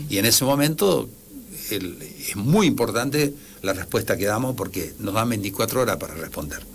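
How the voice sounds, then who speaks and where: Vocal fry runs through a man's medium-pitched voice. He speaks at a moderate pace with lively intonation. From Argentina. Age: 60s. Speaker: engineer. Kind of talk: radio interview. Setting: radio studio. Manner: halting.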